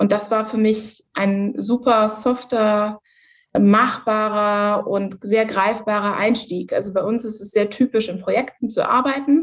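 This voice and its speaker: A woman's normal speaking voice, fairly high in pitch, at a fairly slow pace. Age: 30s. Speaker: corporate manager. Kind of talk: interview.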